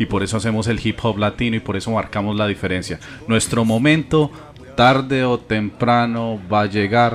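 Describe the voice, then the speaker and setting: A man with a Colombian accent, moderate pace and fairly even intonation, over noticeable background noise. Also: medium pitch for a man. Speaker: podcast host. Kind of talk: casual chat.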